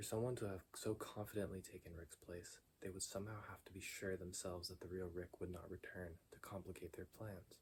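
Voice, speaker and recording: A soft-spoken man whispers, somewhat breathy, at a fairly quick pace. He leaves hardly any pauses. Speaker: ASMR creator. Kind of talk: story narration. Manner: soft-spoken, whispery.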